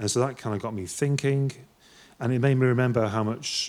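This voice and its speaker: A man with a northwest English accent, medium pitch and fairly even intonation, on a very clean recording with a silent background. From northwest England. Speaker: artist, musician and lecturer. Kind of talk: conference talk. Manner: hesitant, many fillers.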